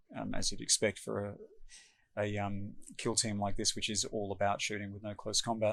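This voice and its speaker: A man's fairly low voice with an Australian accent. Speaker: tabletop game player explaining strategy. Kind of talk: tutorial. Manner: casual, many fillers.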